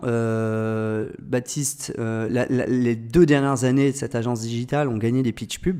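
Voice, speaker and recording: With hardly any pauses, a man talks at a moderate pace, his medium pitch showing ordinary variation. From France, Orléans area. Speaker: agency founder, entrepreneur. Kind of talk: podcast interview. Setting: agency office. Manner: hesitant with many fillers.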